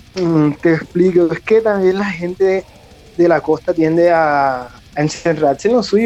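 A high-pitched male voice, its pitch varying in an ordinary way. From Colombian Caribbean coast, Cereté, Córdoba. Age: 30s. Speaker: chef, metal fan. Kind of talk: casual interview.

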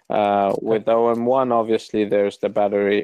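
A man talking at a fairly slow pace. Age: 20s. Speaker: camera shop founder. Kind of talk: casual interview. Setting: phone call. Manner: halting.

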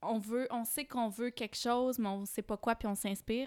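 On a very clean recording with a silent background and a dry, close sound with no echo, a woman talks at a moderate pace with a fairly high pitch and fairly even intonation. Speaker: podcast host and yoga teacher. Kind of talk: casual interview chat.

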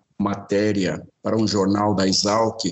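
A man is talking. His delivery is very slow. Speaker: forestry consultant. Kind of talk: interview.

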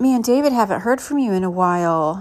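In a very clean recording with a silent background, a woman with an American accent speaks at a moderate pace in an unremarkable speaking voice, with ordinary pitch variation. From US Midwest (Indianapolis). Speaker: podcaster. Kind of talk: casual monologue.

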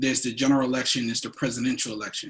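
With an American accent, a man speaks at medium pitch. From New Jersey. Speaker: podcast co-host. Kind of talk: casual chat.

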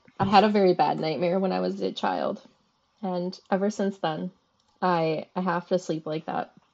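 Fairly low in pitch, a woman speaks at a moderate pace with fairly even intonation. Hers is a normal speaking voice. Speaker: podcast co-host. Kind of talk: casual chat.

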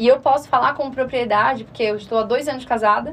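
Speaking at a very fast pace, this woman has a Florianópolis accent. Her pitch is high. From Florianópolis, southern Brazil. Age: 20s. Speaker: personal finance mentor. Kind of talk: radio interview. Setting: radio studio.

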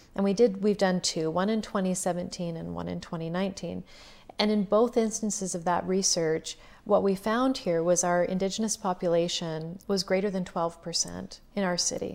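In a normal speaking voice, a woman with a Canadian accent speaks at medium pitch and a moderate pace with fairly even intonation. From Saskatchewan, Canada. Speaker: counselor. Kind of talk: casual interview.

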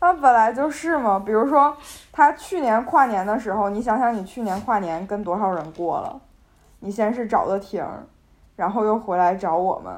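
Her pitch swings very widely. The woman talks at a moderate pace, her voice fairly high. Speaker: university student podcast host. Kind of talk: casual chat.

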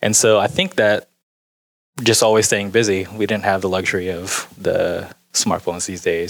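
Intonation stays monotone and flat. The delivery is moderately paced. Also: man. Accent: American. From US, Houston suburbs. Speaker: designer and artist. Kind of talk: casual interview.

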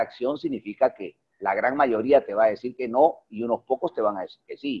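Here a man is talking. He moves along fairly quickly. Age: 50s. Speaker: network marketing leader. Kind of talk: online mentoring presentation. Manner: animated.

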